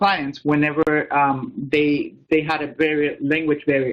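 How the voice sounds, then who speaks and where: A man uses a plain, everyday voice, fairly high in pitch, at a medium tempo. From outside the US, immigrant. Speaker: law student. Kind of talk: panel talk in a webinar.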